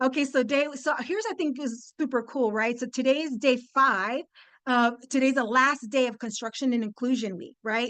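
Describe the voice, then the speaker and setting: A woman speaks in a Spanish accent, high-pitched and animated, at a moderate pace. The background is quiet. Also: ordinary pitch variation. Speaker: construction industry speaker. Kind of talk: webinar presentation.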